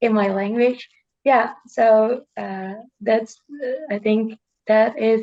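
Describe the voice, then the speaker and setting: Speaking very slowly in a Dutch accent, a woman uses a dark, mellow tone with fairly even intonation and long, frequent pauses. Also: fairly high pitch for a woman. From Netherlands. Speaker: student. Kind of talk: casual chat. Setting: video call. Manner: halting.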